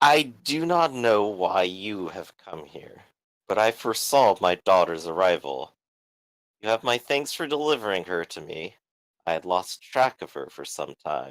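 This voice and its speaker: Booming in a put-on character voice, a man speaks at a fairly low pitch and moderate pace with very wide pitch swings. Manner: commanding, authoritative.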